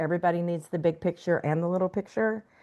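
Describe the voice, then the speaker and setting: Speaking very fast, a woman has a Texas accent and a fairly low pitch. The background is quiet. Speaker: outdoor adventure guide and marketer. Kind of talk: interview.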